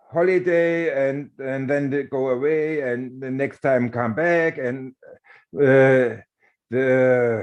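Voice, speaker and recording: A man's medium-pitched voice with a German accent and ordinary pitch variation, at a very slow pace. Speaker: warehouse worker and union organizer. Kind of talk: panel discussion. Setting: webinar video call. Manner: halting.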